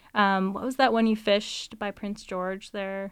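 A fairly high-pitched woman at a moderate pace, on a very clean recording with a silent background. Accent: western Canadian. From Canada, BC lower mainland (North Delta). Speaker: fly shop employee and fishing guide. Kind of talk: casual chat.

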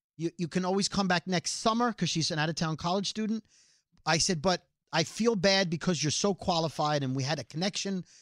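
Speaking fairly quickly with a New York accent, a man with a high pitch comes through a very clean recording with a silent background and a dry, close sound with no echo. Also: ordinary pitch variation. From Brooklyn, New York. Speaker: podcast co-host, radio personality. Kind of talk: casual comedic banter. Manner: fast talker.

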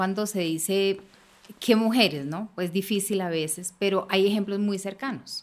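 A woman speaks in a normal speaking voice. Her pace is fairly slow, with ordinary pitch variation. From Colombia, Bogotá. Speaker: politician, congresswoman. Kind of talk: panel conversation.

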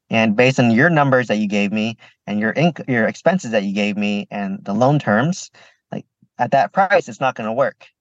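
An ordinary speaking voice with lively intonation moves at a moderate pace over a quiet background, the sound dry and close with no echo. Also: man, medium pitch for a man. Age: 30s. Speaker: pharmacist and real estate investor. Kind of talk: podcast interview.

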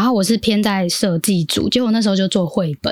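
Someone with a Taiwanese accent talks at a very fast pace with lively intonation. The sound is dry and close, with no echo. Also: woman. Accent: Taiwanese Mandarin.

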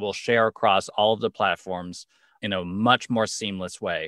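Over a silent background in a very clean, dry, close recording with no echo, a man with an American accent speaks in a bright, sharp tone at a moderate pace. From Los Angeles, US. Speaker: video content marketer, former actor. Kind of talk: interview.

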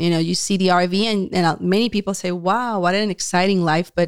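With a Spanish accent, a woman talks at a medium pitch and moderate pace with fairly even intonation, in a very clean recording with a silent background and a dry, close sound with no echo. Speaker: homeschooling parent. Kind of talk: casual chat. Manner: laughs often.

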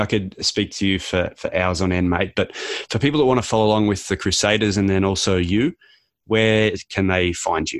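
Against a quiet background, a man with an Australian accent talks at a fairly quick pace with fairly even intonation. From Australia (Canberra). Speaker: podcast host. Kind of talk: interview.

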